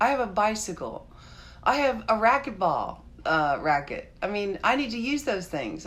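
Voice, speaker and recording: An animated woman speaks at a fairly high pitch and a moderate pace. Her pitch swings very wide, and vocal fry shows through. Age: 60s. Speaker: vlogger on a juicing journey. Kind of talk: live stream chat with viewers.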